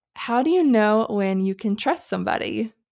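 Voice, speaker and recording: A plain, everyday voice from a woman with an American accent, fairly high in pitch and fairly slow, in a very clean recording with a silent background. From North Carolina. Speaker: podcast host and photographer. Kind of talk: casual chat.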